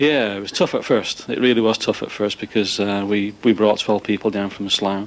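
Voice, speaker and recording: A man with a northern English accent talks at a fairly quick pace in a fairly low pitch. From northern England. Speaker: managing director of a cable manufacturer. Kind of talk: interview on a factory tour.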